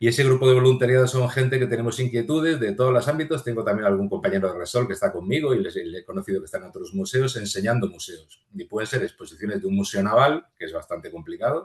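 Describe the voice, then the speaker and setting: At a very fast pace with hardly any pauses, a man talks in a somewhat breathy voice at medium pitch with very wide pitch swings. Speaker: physicist and museum volunteer guide. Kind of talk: interview conversation. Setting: podcast recording.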